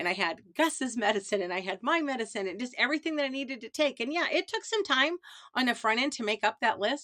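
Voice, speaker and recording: In a Midwestern US accent, the speaker talks fairly quickly with a bright, sharp tone and lively intonation in a dry, close sound with no echo. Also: woman. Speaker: lifestyle vlogger. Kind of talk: casual monologue. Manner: conversational, digressive.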